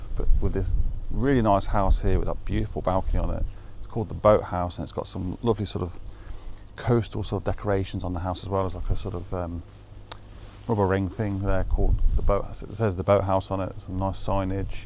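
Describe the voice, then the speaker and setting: A man with a British accent talks at a fairly quick pace, and the room echo is audible. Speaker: photographer, show presenter. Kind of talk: vlog narration on location. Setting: outdoors by the coast. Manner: quiet, hushed.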